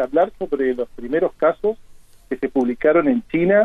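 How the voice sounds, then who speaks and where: Very wide pitch swings in a man's speech. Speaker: emergency physician and university professor. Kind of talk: radio interview.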